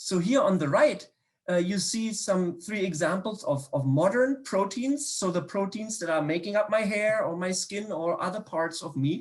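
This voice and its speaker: A man with a German accent, high-pitched, with lively intonation at a moderate pace. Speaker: biochemistry professor. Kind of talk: public science talk. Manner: hesitant, many fillers and repetitions.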